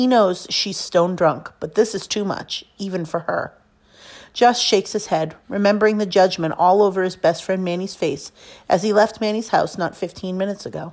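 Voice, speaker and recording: Here a woman speaks at a medium pitch. Her pitch variation is ordinary. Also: moderate pace. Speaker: teacher reading a novel aloud. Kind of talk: casual enthusiastic book recommendation. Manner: expressive, narrative reading that voices dialogue with emotion, fairly steady pacing; enthusiastic and warm when recommending the book.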